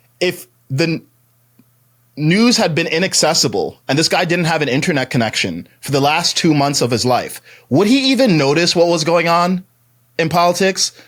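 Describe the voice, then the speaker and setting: A man speaks loudly at a high pitch on a very clean recording with a silent background. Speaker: life coach and public speaker. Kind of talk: casual podcast conversation. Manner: animated, with frequent fillers and restarts.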